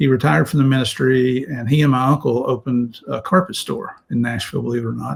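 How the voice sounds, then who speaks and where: A man with an American accent talks at a very fast pace, with hardly any pauses. His voice is medium in pitch, somewhat breathy, and shows ordinary pitch variation. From Tennessee, then West Virginia. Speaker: retired federal drug agent. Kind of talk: casual interview storytelling.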